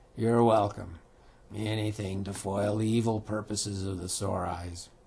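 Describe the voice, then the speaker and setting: A raspy, put-on character voice at a moderate pace, with monotone, flat intonation. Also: man, fairly low pitch for a man. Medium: read story. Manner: slow, dignified.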